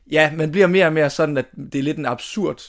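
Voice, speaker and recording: This man has an unremarkable speaking voice. He moves at a moderate pace, and his pitch varies in an ordinary way. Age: 20s. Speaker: drama student. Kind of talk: interview. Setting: family holiday house.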